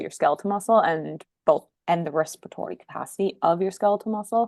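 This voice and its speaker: A woman is heard against a quiet background, her sound dry and close with no echo. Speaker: PhD researcher. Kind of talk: podcast interview.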